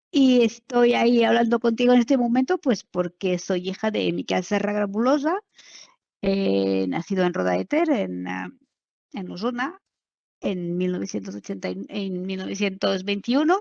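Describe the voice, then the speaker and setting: A woman speaks at a fairly slow pace in a dry, close sound with no echo. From France, Normandy. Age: 60s. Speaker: daughter of a concentration camp survivor. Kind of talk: testimony interview. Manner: hesitant, many fillers.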